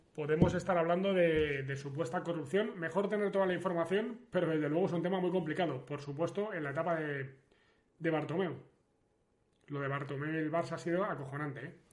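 The speech moves at a fairly quick pace with fairly even intonation. Audible room echo is present. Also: man, high pitch for a man. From Spain, León. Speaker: sports streamer. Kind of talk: casual livestream chat. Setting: livestream.

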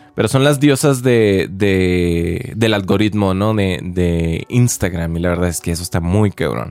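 A man's very deep, low voice with lively intonation, a fairly slow pace and hardly any pauses. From Mexico, Chihuahua. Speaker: podcaster. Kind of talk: casual monologue. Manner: hesitant, repeats words.

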